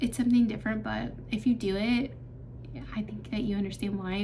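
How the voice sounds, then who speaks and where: A woman of medium pitch talks at a fairly quick pace with ordinary pitch variation, with audible room echo and noticeable background noise. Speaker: vlogger. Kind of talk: casual Q&A vlog. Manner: hesitant, many fillers.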